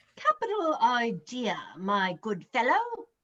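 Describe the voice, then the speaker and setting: The pace runs fairly slow. A put-on character voice carries the delivery. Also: female-sounding voice, high pitch for a woman. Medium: read story. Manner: proper, old-fashioned.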